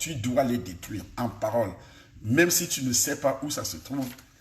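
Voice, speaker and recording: Somewhat breathy, a man speaks fairly slowly with lively intonation, and room echo is audible. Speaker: pastor. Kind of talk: sermon. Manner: soft-spoken; articulated.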